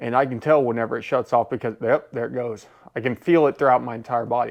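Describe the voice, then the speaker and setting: Speaking at a very fast pace, a man keeps his medium-pitched voice fairly even in intonation. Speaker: car tuning video creator. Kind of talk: casual vlog talk. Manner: slurred speech with stimulation on; clearer enunciation with stimulation off.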